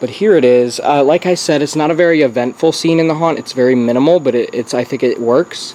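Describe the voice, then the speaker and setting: With ordinary pitch variation, a man rattles along very fast while background noise is clearly audible. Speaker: YouTuber documenting home haunt build. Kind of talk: casual vlog. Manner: casual, halting with fillers.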